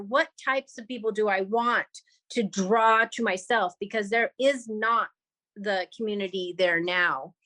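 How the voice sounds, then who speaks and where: This woman talks at a moderate pace with a fairly high pitch and ordinary pitch variation. Long pauses come often. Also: dry, close sound with no echo. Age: 50s. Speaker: community member sharing in group call. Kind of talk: group discussion.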